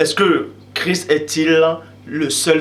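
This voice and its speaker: Over noticeable background noise, the intonation stays fairly even. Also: man. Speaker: religious video preacher. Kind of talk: preaching monologue. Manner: loud.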